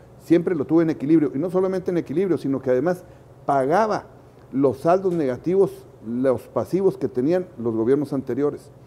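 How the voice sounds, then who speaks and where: The speaker has a plain, everyday voice. Delivery is at a moderate pace with lively intonation. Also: man. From Chihuahua, northern Mexico. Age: 60s. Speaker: political candidate. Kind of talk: interview.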